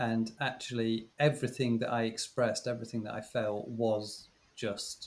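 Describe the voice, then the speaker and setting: Monotone, flat intonation in a British accent. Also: man, medium pitch for a man, moderate pace. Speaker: former teacher. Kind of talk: casual chat. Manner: halting.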